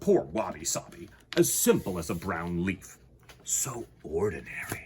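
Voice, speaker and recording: Putting on a character voice, the man pitches himself very deep and low and keeps a moderate pace. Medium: read story. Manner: snappy, condescending.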